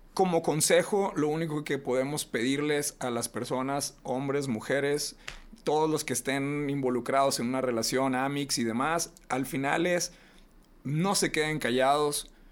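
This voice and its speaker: The voice is a man's, fairly high in pitch. He uses a plain, everyday voice at a fairly slow pace. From Reynosa, northern Mexico. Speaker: podcast host. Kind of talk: casual chat.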